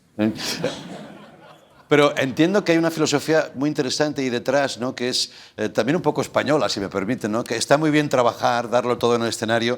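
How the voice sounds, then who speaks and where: Speaking very fast, a man holds a medium pitch with ordinary pitch variation. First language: Spanish. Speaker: talk show host. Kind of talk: talk show interview.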